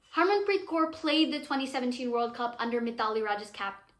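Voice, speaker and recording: With audible room echo, a woman talks in an animated, bright and sharp tone. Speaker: cricket commentator / vlogger. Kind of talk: casual vlog commentary. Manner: animated, self-interrupting.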